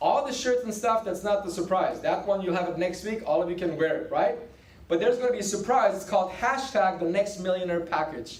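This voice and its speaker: A man speaks in an animated tone at a high pitch. Audible room echo and noticeable background noise are present. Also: ordinary pitch variation, fairly quick pace. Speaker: business team leader. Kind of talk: motivational sales meeting talk. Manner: fast.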